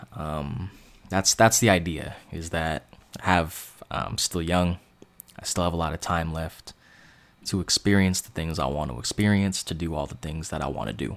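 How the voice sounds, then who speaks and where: Speaking at a moderate pace in a Californian accent, a man has a very deep, low pitch, vocal fry and ordinary pitch variation. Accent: Californian American. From US West Coast, Bay Area (East Bay). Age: 20s. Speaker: sports podcaster. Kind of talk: monologue commentary. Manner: halting.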